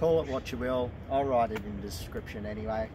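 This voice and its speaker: At a fairly quick pace, a man talks over noticeable background noise. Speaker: presenter. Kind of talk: casual educational walk-and-talk. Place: forest. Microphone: camera far.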